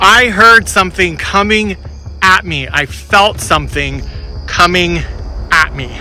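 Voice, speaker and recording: Noticeable background noise sits behind a man speaking at a fairly slow pace. He leaves long, frequent pauses. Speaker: paranormal investigator YouTuber. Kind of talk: vlog, on-location investigation recap. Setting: in a car. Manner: loud, yelling.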